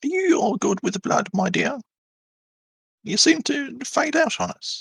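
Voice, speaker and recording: A man speaks at a moderate pace in a put-on character voice, pitched extremely high. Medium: actual play. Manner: sly, patronizing.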